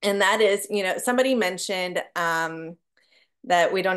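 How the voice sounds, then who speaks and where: A woman speaks at a medium pitch with a quiet background. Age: 30s. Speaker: business owner, artist, mother; speaker. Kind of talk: group video call talk. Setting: video call. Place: home room. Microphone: webcam.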